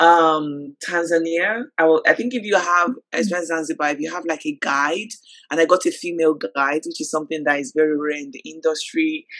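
Speaking with a London accent, a woman uses a fairly low pitch and a bright, sharp tone, moving at a fairly quick pace with lively intonation. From London, UK (born in Nigeria). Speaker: travel magazine co-founder. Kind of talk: interview.

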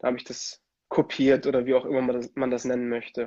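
With flat, monotone intonation, a man speaks at a medium pitch and a moderate speed. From Germany, Italian family. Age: 20s. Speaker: ice hockey player and musician. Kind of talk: casual interview. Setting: Instagram livestream.

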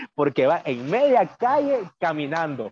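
A man speaks in a Managua Nicaraguan accent, the sound dry and close with no echo. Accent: Managua Nicaraguan, fast, drops s. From Nicaragua, Managua. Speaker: magazine contributor, migrant. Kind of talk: casual interview chat.

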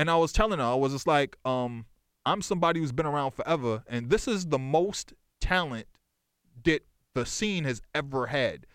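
In a very clean recording with a silent background, a man with an American accent speaks in a normal speaking voice, his pitch fairly high and his intonation lively. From Boston, South End / Lower Roxbury. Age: 40s. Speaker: music journalist and historian. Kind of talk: casual chat. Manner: rapid, run-on speech.

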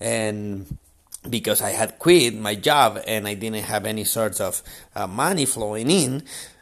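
With a Spanish accent, a man speaks at a very slow pace. The recording is very clean, with a silent background. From Chile. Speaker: podcast host, entrepreneur. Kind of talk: motivational monologue. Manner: halting, many fillers.

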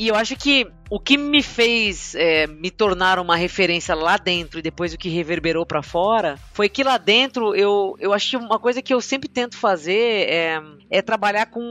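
With a bright, sharp tone and lively intonation, the speaker moves at a moderate pace in a dry, close sound with no echo. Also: woman, medium pitch for a woman. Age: 40s. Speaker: agile coach / product leader. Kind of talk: interview. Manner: halting.

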